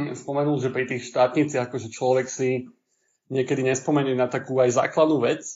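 A man's somewhat breathy voice at a medium pitch and a fairly quick pace. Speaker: podcast host. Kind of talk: casual chat.

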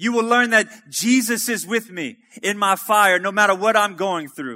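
In a very clean recording with a silent background, a man with a high pitch projects a raised voice with a bright, sharp tone, ordinary pitch variation and a fairly slow pace. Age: 30s. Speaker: preacher. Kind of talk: sermon. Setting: church.

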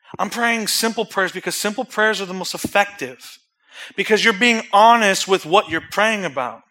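This man has a high pitch and a bright, sharp tone. His voice is raised and projected. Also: ordinary pitch variation, moderate pace. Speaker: preacher. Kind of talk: sermon; fervent closing prayer. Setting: church. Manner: earnest, pleading, building intensity in prayer; casual, conversational.

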